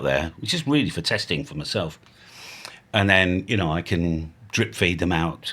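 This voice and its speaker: A man with an English accent speaks at a moderate pace, his very deep, low pitch carrying a bright, sharp tone. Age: 60s. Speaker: ham radio youtuber. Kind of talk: casual vlog monologue. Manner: rambling, free-flowing; animated.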